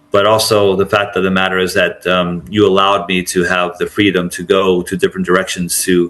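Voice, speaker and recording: A man's very deep, low voice, monotone and flat, at a moderate pace over noticeable background noise. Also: big swings in loudness. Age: 60s. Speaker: track and field announcer. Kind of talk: podcast interview.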